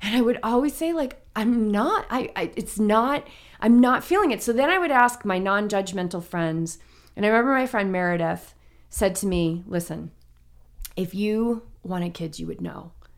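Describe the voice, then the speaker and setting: A woman's plain, everyday voice at medium pitch, with lively intonation and a moderate pace, in a very clean recording over a silent background. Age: 40s. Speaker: mindfulness coach and triathlete. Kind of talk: casual interview chat. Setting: in person with host.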